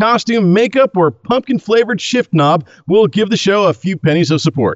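This is a man speaking. His pitch is high. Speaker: podcast host. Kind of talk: casual banter with ad reads.

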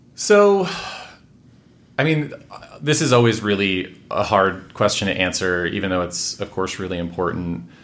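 With an American accent and audible room echo, a man speaks at a fairly low pitch and a moderate pace, with lively intonation and long, frequent pauses. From Washington State, US. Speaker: housing policy expert and author. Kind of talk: interview conversation.

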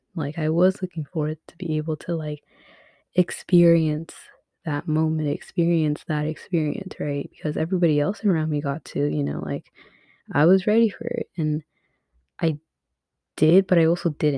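The speech runs at a moderate pace. Long, frequent pauses break it up. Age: 20s. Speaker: solo podcaster. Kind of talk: casual monologue. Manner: casual, filler-heavy.

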